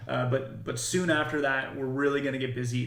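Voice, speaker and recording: Against noticeable background noise and audible room echo, a man speaks at a medium pitch with fairly even intonation. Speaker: game developer. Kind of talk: livestream devlog update. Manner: fast; casual, many fillers.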